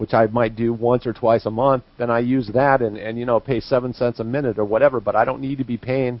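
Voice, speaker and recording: A man's medium-pitched voice with an American accent at a fairly quick pace, a plain, everyday voice. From US Midwest, northeastern Missouri. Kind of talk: live talk radio discussion.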